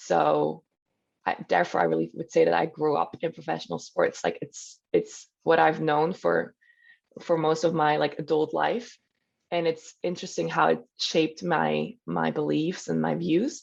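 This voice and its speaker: A woman in a Swiss German accent speaks at a moderate pace over a quiet background. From German-speaking Switzerland. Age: 20s. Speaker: professional volleyball player. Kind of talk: podcast interview. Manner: hesitant, many fillers.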